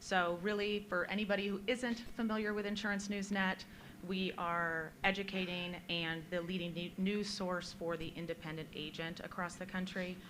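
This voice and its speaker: A woman at a moderate pace, hardly any pauses, fairly even intonation, audible room echo. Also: medium pitch for a woman. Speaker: media account director. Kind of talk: conference panel discussion. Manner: loud. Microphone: holding microphone far away.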